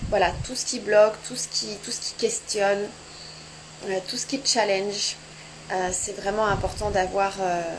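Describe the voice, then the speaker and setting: Fairly slow speech with fairly even intonation and long, frequent pauses, over noticeable background noise. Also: woman, medium pitch for a woman. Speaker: sex and couples therapist. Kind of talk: live social media chat. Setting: home, Instagram live. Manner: soft-spoken.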